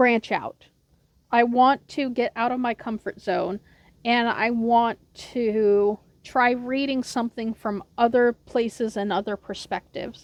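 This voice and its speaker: An ordinary speaking voice with an American accent, fairly even intonation and a fairly slow pace, dry and close with no echo against a quiet background. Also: woman, fairly high pitch for a woman. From United States. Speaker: book vlogger. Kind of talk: casual vlog talk. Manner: casual, with many fillers.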